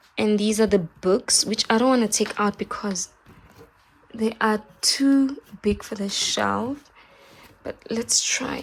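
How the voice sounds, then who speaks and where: A woman talks at a very slow pace with long, frequent pauses, her pitch fairly high. Noticeable background noise runs behind her. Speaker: vlogger. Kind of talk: casual vlog chat. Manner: animated.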